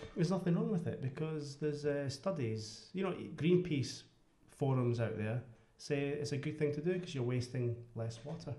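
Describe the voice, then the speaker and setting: A man with a Scottish accent speaks at a fairly high pitch in a dark, mellow tone. His voice is somewhat breathy, and there is audible room echo. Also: ordinary pitch variation, moderate pace. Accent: very Scottish. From Scotland, Glasgow West End. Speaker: podcast guest. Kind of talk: casual chat. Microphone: speaking too far from the mic.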